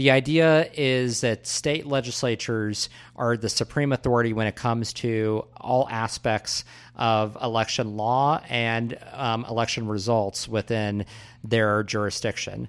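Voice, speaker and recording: Speaking fairly slowly, a man has a plain, everyday voice with a medium pitch and fairly even intonation. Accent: American. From US Midwest. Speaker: political podcast co-host. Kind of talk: casual political discussion.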